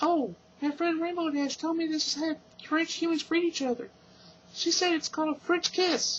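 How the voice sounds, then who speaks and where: A man puts on a character voice at an extremely high pitch, squeaky in sound. He talks at a moderate pace. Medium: read story. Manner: bubbly, overeager.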